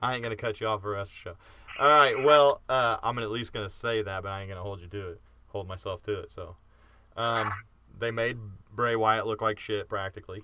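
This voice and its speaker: This man talks at a fairly quick pace with medium pitch and a bright, sharp tone. His intonation is fairly even, while his loudness swings widely. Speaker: wrestling podcast host. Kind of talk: casual chat. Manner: interrupting.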